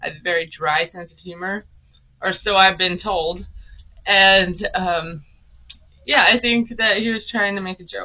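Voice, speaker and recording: At a fairly slow pace and medium pitch, a woman talks with big swings in loudness and long, frequent pauses. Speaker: reality TV recap youtuber. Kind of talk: casual recap monologue. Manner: monotone, dry delivery.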